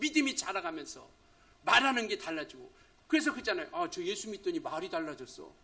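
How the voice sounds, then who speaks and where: A man in a raised, projected voice with a bright, sharp tone talks at a fairly quick pace with very wide pitch swings. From rural Korea. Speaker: pastor. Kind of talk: sermon. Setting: church.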